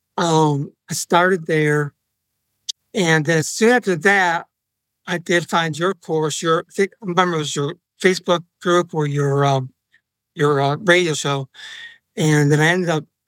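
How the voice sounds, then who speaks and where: Dry and close with no echo, a man's fairly high voice moves at a fairly slow pace. His intonation is fairly even, and he takes long, frequent pauses. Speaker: Amazon seller, course student. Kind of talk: interview, telling his story. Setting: remote recording, far from microphone. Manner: soft-spoken, sometimes halting.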